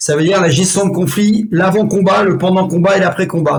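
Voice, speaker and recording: Over noticeable background noise, a man talks at a high pitch with fairly even intonation. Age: 60s. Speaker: martial arts instructor. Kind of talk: interview. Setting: podcast.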